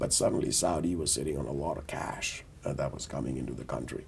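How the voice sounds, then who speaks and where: Vocal fry and ordinary pitch variation mark this fairly quick voice, heard with audible room echo. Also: man. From India (Delhi). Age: 60s. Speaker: business executive, board member. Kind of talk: interview, career story. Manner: measured, with many fillers.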